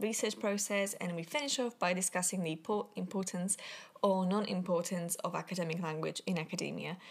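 In a non-native accent, a woman speaks at a medium pitch and a fairly quick pace. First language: not English. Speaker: podcast host. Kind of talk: casual chat.

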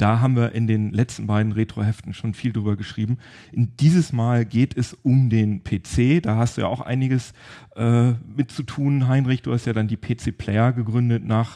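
In a dry, close recording with no echo and a quiet background, a man speaks with a dark, mellow tone, medium pitch, and fairly even intonation. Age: 40s. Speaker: tech podcast host. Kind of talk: casual chat.

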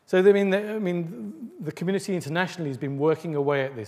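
This man talks very fast, and his pitch varies in an ordinary way. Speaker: professor giving a lecture. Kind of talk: academic lecture. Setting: lecture theatre with audience. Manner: hesitant, many fillers.

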